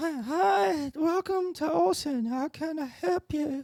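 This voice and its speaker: A put-on character voice delivers its lines at a high pitch and a fairly slow pace. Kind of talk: polite professional. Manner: cheerful, welcoming.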